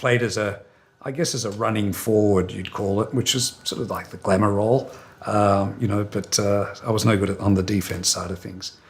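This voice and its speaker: A man with an Australian accent speaks at a fairly low pitch. He keeps a moderate pace and fairly even intonation. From Australia, Melbourne. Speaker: hotel company executive. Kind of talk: interview. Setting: sit-down interview near company headquarters.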